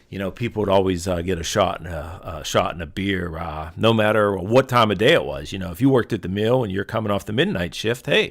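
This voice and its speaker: In a Pittsburgh accent, the speaker rushes at a very fast pace with hardly any pauses, ordinary pitch variation, and big swings in loudness. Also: man, fairly low pitch for a man. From Pittsburgh, Western Pennsylvania. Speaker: podcast host. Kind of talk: casual monologue. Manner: halting, many fillers.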